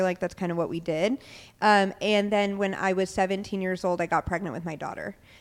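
This woman has an unremarkable speaking voice, medium in pitch and moderate in pace. The recording is very clean, with a silent background. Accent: American. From Tacoma, Washington. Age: 30s. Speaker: sobriety coach. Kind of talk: interview about life story. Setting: in a bar.

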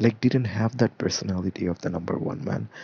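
A man with vocal fry talks at a moderate pace using lively intonation. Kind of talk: solo commentary podcast.

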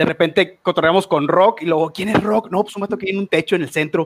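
Dry, close sound with no echo, a man with a Mexican accent and a high pitch, fairly quick, hardly any pauses, ordinary pitch variation. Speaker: fighting game commentator. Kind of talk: casual chat.

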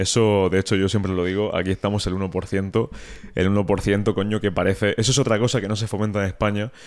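On a very clean recording with a silent background, a man speaks in a monotone, flat way at a fairly low pitch. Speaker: podcast host. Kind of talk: casual interview. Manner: casual.

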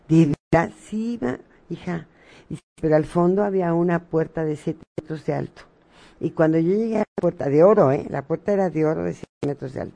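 Dry and close with no echo, a woman's dark, mellow voice has a fairly low pitch, ordinary pitch variation and a moderate pace. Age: 60s. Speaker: spiritual medium. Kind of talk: radio interview.

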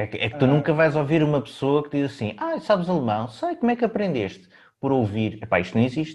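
Somewhat breathy speech comes at a very fast pace, swinging very widely in pitch over a quiet background. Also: man, fairly high pitch for a man. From Portugal. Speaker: podcast host. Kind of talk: casual chat.

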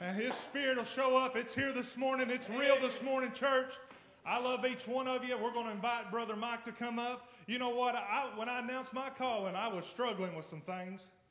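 A man talks at a fairly quick pace with an extremely high voice and fairly even intonation. Noticeable background noise runs under him. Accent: American. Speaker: pastor. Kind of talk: sermon. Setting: church.

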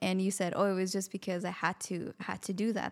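Fairly quick and monotone, with flat intonation, a woman speaks at a medium pitch. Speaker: podcast co-host. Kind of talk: casual interview.

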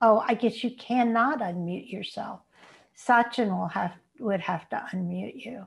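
Over a silent background in a very clean recording, a woman with a fairly high pitch speaks at a fairly slow pace in a somewhat breathy voice. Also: ordinary pitch variation. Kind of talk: guided meditation. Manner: slow, soothing and gentle, with long pauses between phrases.

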